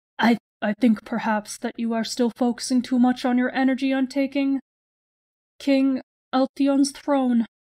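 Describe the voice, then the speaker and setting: Using a put-on character voice, a female-sounding speaker talks at a moderate pace in a high pitch with monotone, flat intonation. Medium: game stream. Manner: cold, commanding, menacing.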